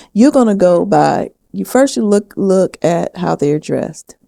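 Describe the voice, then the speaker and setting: Lively intonation marks this woman's speech in a Southern US accent. Her fairly low voice has a dark, mellow tone, a moderate pace, and a dry, close sound with no echo. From US South. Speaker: podcast co-host. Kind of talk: casual chat.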